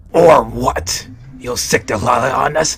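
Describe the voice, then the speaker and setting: Over faint music in the background, a man does a put-on character voice, growling at a medium pitch and a fairly slow pace. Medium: audio drama. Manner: mocking, laughing.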